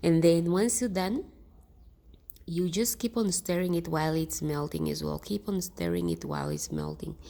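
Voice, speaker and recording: Speaking at a moderate pace, a woman talks with a non-native accent. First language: not English. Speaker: DIY skincare vlogger. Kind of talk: tutorial. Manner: halting; casual.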